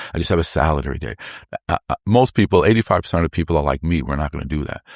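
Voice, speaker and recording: A man's very deep, low voice with vocal fry and lively intonation at a very fast pace, dry and close with no echo, on a very clean recording with a silent background. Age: 60s. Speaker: lymphatic health expert. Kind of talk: interview. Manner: animated.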